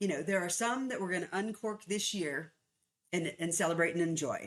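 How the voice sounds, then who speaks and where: Speaking fairly low in pitch, a woman with an unremarkable speaking voice shows ordinary pitch variation. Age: 60s. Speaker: author and conflict consultant. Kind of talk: casual interview chat.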